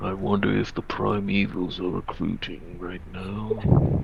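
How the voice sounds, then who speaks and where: A man puts on a rumbling character voice with a very deep, low pitch. He talks at a fairly slow pace over noticeable background noise. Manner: grumbling.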